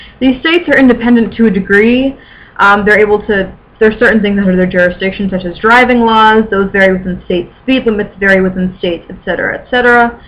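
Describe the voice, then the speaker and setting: This woman's medium-pitched voice moves at a very fast pace, with ordinary pitch variation and big swings in loudness. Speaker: amateur history vlogger. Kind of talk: informal educational vlog. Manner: mumbling.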